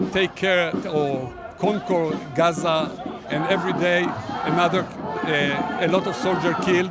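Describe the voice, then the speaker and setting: Music plays in the background as a man with a high pitch speaks with ordinary pitch variation and audible room echo. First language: Hebrew. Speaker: protester. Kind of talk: street interview. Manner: halting.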